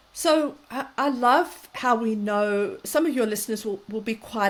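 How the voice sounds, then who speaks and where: A woman with a South African accent and ordinary pitch variation, on a very clean recording with a silent background. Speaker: parenting and mental health expert. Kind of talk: interview conversation.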